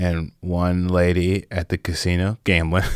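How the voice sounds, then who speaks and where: Recorded dry and close with no echo, a man speaks at a very slow pace. His pitch is very deep and low. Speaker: podcast co-host and singer. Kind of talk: casual chat. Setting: video call.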